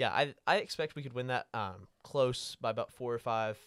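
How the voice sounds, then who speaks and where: An unremarkable speaking voice with an American accent, moderate pace and ordinary pitch variation, dry and close with no echo on a very clean recording with a silent background. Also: man. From Florida (Panama City). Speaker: student podcast co-host. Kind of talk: casual sports talk.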